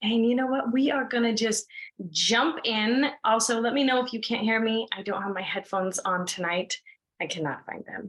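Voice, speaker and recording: A woman's fairly high, animated voice at a moderate pace, with ordinary pitch variation. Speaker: business coach. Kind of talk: guided breathing exercise; online masterclass. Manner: loud.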